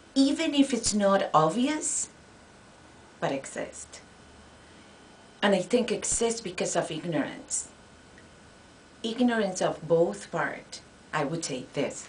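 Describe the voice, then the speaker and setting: A woman with a Spanish accent, very wide pitch swings and long, frequent pauses, over noticeable background noise. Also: medium pitch for a woman. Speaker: Spanish professor. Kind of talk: interview. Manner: halting.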